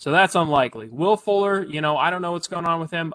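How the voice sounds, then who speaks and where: Very fast in pace, a man speaks with ordinary pitch variation. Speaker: sports podcast host. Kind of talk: casual chat. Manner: halting, filler-heavy.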